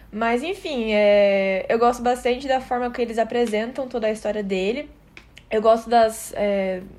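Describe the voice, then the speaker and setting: At a moderate pace, a woman with an ordinary speaking voice talks fairly high in pitch, its variation ordinary. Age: 18. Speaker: podcast co-host. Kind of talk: casual chat.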